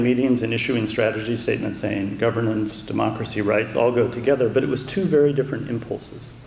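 A man with an American accent talks at a fairly quick pace. Audible room echo and light background noise surround him. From US. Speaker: democracy aid expert, think tank vice president; guest lecturer. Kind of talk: lecture. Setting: university lecture room with audience. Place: hall. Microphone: podium.

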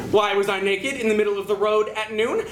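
Against light background noise, a man speaks in a high pitch. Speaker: slam poet. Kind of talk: slam poetry performance. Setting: live venue. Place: stage. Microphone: camera far.

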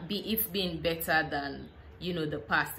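A woman speaks at a fairly low pitch in a bright, sharp tone.

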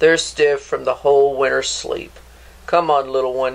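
The words are read aloud. Nothing about the delivery is forced.

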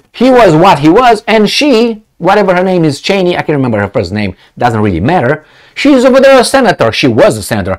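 A man is speaking. His pace is moderate, and all is quiet behind him. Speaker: video commentator. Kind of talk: angry political rant. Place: office. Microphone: lapel.

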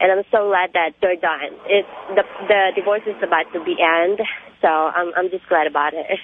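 The speech moves at a moderate pace with fairly even intonation. The sound is dry and close, with no echo. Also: woman, fairly low pitch for a woman.

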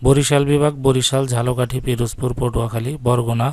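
Using a normal speaking voice, a man keeps to a medium pitch and fairly even intonation. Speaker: YouTube educator. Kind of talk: tutorial. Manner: reading aloud from a notice.

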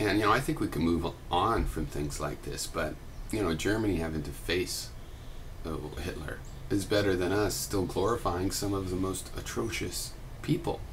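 A man with a very deep, low pitch, ordinary pitch variation and a moderate pace, over light background noise. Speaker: video blogger. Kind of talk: explanatory monologue. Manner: halting, thoughtful. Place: home room. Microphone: webcam.

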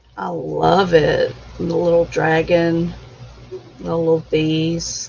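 Noticeable background noise sits behind a woman's voice. She speaks at a very slow pace. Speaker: livestream host. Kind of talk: casual chat. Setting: at home. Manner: halting.

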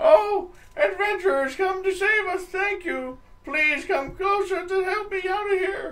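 In a put-on character voice, this man talks fairly slowly, his pitch pushed extremely high. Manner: pleading, falsely desperate.

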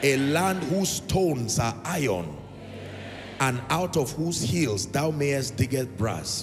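Music plays in the background as a man speaks at a fairly slow pace. His pitch swings very widely. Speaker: preacher. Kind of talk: sermon. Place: church. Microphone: handheld.

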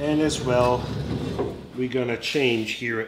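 This man's intonation stays fairly even while noticeable background noise carries on behind him. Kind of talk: casual vlog chat. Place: workshop. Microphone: phone near.

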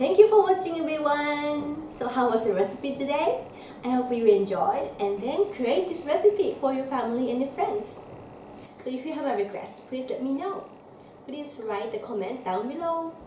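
In a room with audible echo and light background noise, a woman speaks at a high pitch and a moderate pace. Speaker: home cooking host. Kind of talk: casual cooking vlog outro. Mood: cheerful, playful. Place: kitchen. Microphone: camera far.

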